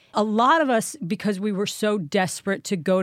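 The speaker is a woman. The recording is very clean, with a silent background. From Manhattan, New York. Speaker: singer and actress. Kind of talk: casual interview chat.

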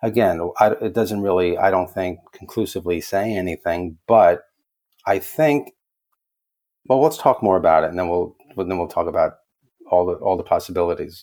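Speaking with an American accent, a man has a very deep, low pitch, a dark, mellow tone, ordinary pitch variation and a moderate pace. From New York, the Bronx. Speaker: nurse and actor. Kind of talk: casual chat. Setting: studio.

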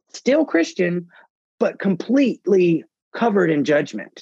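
The speaker has a Southern US accent. The sound is dry and close, with no echo. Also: man. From US South, Mississippi. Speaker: parenting blogger and author. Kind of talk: interview conversation.

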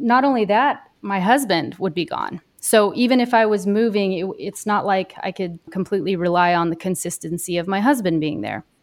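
On a very clean recording with a silent background, a woman with an American accent speaks at a medium pitch and moderate pace, her pitch varying in an ordinary way. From Kansas, near Dodge City. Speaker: mental health therapist. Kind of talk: interview.

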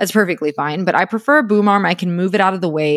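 Upbeat and enthusiastic, a woman speaks with ordinary pitch variation, the sound dry and close with no echo on a very clean recording with a silent background. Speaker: podcast host and podcast manager. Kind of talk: solo podcast episode giving tips. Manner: fast talker; upbeat, enthusiastic.

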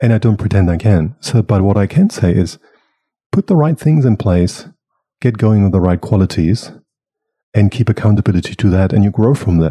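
A man's somewhat breathy, dark, mellow voice, fairly low in pitch with ordinary variation, at a moderate pace with long, frequent pauses and very even loudness. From Germany. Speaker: facilitator and consultant. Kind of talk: casual interview. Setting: recording live in person in Melbourne.

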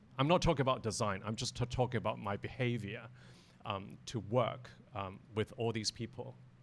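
A man's medium-pitched voice with vocal fry, ordinary pitch variation and a moderate pace. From Hong Kong. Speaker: interior designer. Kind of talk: panel discussion. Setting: live audience.

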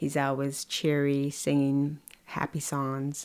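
A woman with a very deep, low pitch on a very clean recording with a silent background. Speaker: wife and caregiver. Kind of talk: casual interview. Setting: home kitchen.

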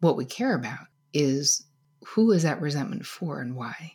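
Her dark, mellow tone is somewhat breathy as the woman moves through very wide pitch swings at a moderate pace. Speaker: psychotherapist and author. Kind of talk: casual interview chat. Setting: video call.

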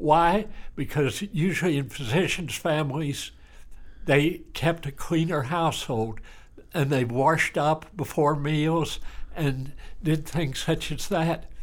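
A very slow pace with a Texan accent. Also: man, fairly high pitch for a man, ordinary pitch variation. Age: around 80. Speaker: retired country doctor. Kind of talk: interview.

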